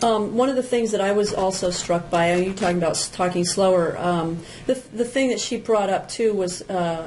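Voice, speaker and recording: With an American accent, a woman talks at a moderate pace and medium pitch, showing ordinary pitch variation and very even loudness, with hardly any pauses and audible room echo. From New Jersey. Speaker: podcast co-host, parenting coach. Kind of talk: casual chat.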